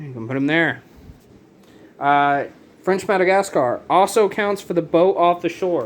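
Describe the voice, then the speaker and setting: The man speaks with ordinary pitch variation. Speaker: board game youtuber. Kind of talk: tutorial. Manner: casual, halting with fillers.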